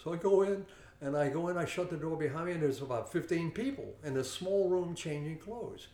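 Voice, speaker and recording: A man with a fairly high pitch and ordinary pitch variation speaks fairly quickly against noticeable background noise. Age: 70s. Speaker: martial arts instructor. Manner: repeats 'okay' often, relaxed.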